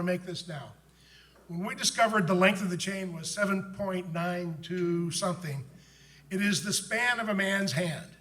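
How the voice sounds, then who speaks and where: Noticeable background noise fills the recording. An audible room echo is also present. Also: man. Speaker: book author and conference speaker. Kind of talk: conference talk.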